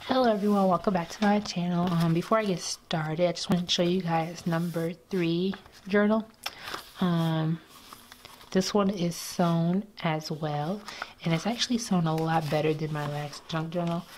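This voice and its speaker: A woman's fairly low voice with fairly even intonation at a moderate pace, against noticeable background noise. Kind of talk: casual journaling voice-over.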